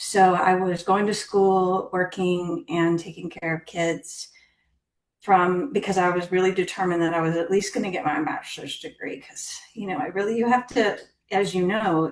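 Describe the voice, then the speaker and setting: Here is a woman with an unremarkable speaking voice, medium pitch and ordinary pitch variation, talking at a moderate pace. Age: 50s. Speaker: scientist. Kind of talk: interview. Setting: podcast.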